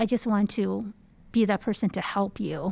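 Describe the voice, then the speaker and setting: Recorded very cleanly against a silent background, a woman with a slight Chinese accent speaks fairly slowly in a medium pitch with ordinary pitch variation. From China. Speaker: research center associate director. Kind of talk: interview.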